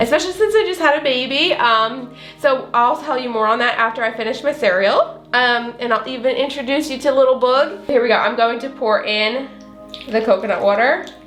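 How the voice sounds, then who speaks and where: In an American accent, a woman with a high pitch talks at a fairly quick pace and with ordinary pitch variation. Music plays behind her, and room echo is audible. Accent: slight southern US accent coming back. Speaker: food vlogger. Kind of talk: cooking tutorial. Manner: casual, filler-heavy.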